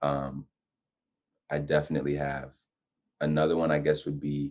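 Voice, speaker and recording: Very deep and low, a man's voice moves at a moderate pace in a monotone with flat intonation. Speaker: guest on faith and lifestyle talk show. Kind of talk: casual interview chat.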